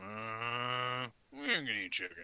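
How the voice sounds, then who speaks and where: A man puts on a character voice and speaks at a fairly slow pace. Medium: actual play. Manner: clipped, broken grammar.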